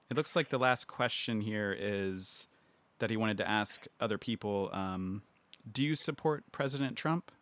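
Heard in a dry, close sound with no echo on a very clean recording with a silent background, a man uses a normal speaking voice with a fairly low pitch and ordinary pitch variation. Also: moderate pace. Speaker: podcast host. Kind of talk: casual chat. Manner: joking, laughing.

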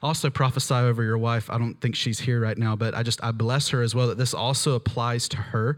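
A man speaks at a medium pitch and a fairly quick pace, with hardly any pauses. The recording is very clean, with a silent background. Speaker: preacher. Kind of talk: sermon with live prayer and prophetic words over a congregation. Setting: church with live audience. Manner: fervent, earnest, conversational and animated.

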